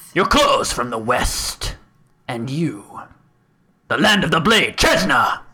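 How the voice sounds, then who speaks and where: A man uses a put-on character voice pitched high for a man. He goes at a fairly slow pace with long, frequent pauses. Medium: actual play. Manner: curt, grave, commanding.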